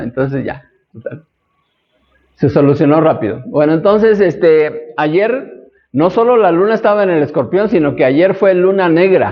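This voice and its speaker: A high-pitched man with lively intonation and a fairly slow pace. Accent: Mexican. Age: 60s. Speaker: astrology teacher. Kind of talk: lecture. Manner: conversational.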